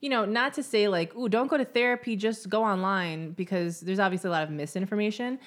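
Very fast and with hardly any pauses, a woman talks at a medium pitch with lively intonation. The recording is very clean with a silent background. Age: 30s. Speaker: podcast co-host. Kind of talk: casual chat.

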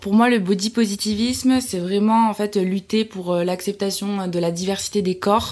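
A woman speaks in a medium pitch. Her intonation is monotone and flat. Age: 20s. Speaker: social media content creator. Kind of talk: interview.

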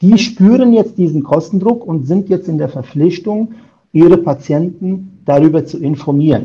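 This man's voice sits high in pitch, with a dark, mellow tone, ordinary pitch variation and a moderate pace. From Germany. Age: 50s. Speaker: insurance broker. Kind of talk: interview. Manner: hesitant with many filler sounds.

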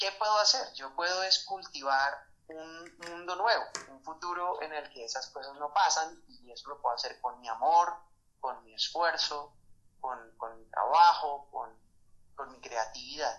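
A man speaks in a normal speaking voice, fairly high-pitched for a man, at a fairly slow pace. His intonation is lively and his loudness swings a lot. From Colombia, Bogotá. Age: 30s. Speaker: musician and sculptor. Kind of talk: interview.

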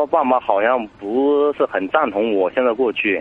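Noticeable background noise sits behind a man speaking at a moderate pace and medium pitch. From Sichuan, China. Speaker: caller seeking relationship advice. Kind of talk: phone-in advice call. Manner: halting, hesitant.

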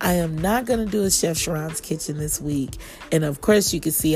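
A woman with an American accent, very deep and low in pitch, at a moderate pace with ordinary pitch variation, over noticeable background noise. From Kansas City, Missouri. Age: 40s. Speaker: podcast host and chef. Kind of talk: casual monologue. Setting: outdoors on porch.

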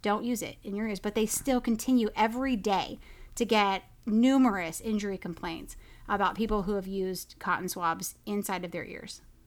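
With an American accent, a woman speaks in an unremarkable speaking voice at a medium pitch and a moderate pace, with ordinary pitch variation, in a very clean recording with a silent background. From Oklahoma. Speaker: podcast co-host. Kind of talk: casual chat.

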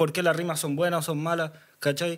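In a Chilean accent, a man speaks at a fairly high pitch. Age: 20s. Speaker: freestyle rapper. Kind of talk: casual chat.

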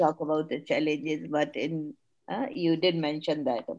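Spoken at a moderate pace with ordinary pitch variation, this voice carries an Indian accent. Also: woman. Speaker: webinar moderator. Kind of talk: panel discussion. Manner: hesitant, many fillers.

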